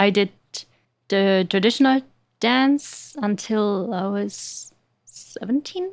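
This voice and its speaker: Speaking very slowly with long, frequent pauses, a woman with a German accent uses a medium pitch and ordinary pitch variation. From Germany. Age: 20s. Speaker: dancer and actress. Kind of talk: podcast interview.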